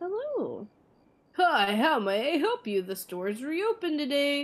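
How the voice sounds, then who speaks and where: A woman's high-pitched put-on character voice at a moderate pace with very wide pitch swings. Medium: game stream. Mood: cheery shopkeeper pitch.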